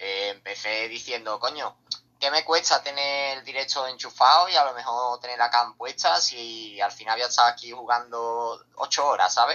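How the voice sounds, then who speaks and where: A man at a moderate pace, medium pitch and ordinary pitch variation, with an ordinary speaking voice. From Seville, Andalusia, Spain. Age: 20s. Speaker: streamer. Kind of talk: casual interview.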